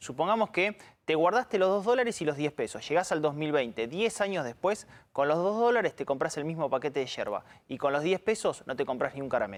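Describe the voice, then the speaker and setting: This man's fairly high voice moves at a fairly quick pace with very wide pitch swings, on a very clean recording with a silent background. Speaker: economic analyst. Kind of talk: live talk show discussion.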